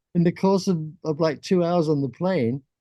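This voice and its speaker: A man with an English accent, high pitch and a dark, mellow tone, at a moderate pace with ordinary pitch variation, against a quiet background. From England. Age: 80s+. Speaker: artist. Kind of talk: casual chat.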